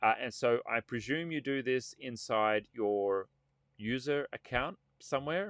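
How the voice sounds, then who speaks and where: At a fairly slow pace, a man with a medium pitch speaks with lively intonation in a very clean recording with a silent background. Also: dry, close sound with no echo. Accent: Australian. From Australia. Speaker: tech consultant and channel host. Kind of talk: live stream tutorial. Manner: casual, many fillers.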